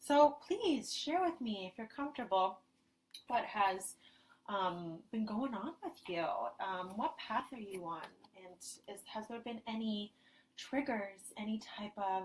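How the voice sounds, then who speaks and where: Soft-spoken and somewhat breathy, a woman talks at a fairly slow pace and a fairly high pitch. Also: lively intonation, big swings in loudness. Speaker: spiritual ceremony leader. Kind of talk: guided group ceremony over video call.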